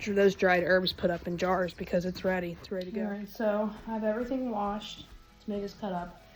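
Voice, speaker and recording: Music plays in the background as a woman speaks at a very fast pace with big swings in loudness. Her medium pitch holds fairly even intonation. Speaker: home cooking vlogger. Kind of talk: casual vlog talk. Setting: outdoors in garden. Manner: halting; quiet.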